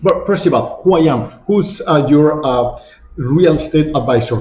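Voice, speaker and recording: In a room with audible echo, a man with a Mexican accent speaks at a moderate pace in a fairly high, somewhat breathy voice. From Mexico City. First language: Spanish. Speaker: real estate agent. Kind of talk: online masterclass presentation. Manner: halting, many fillers.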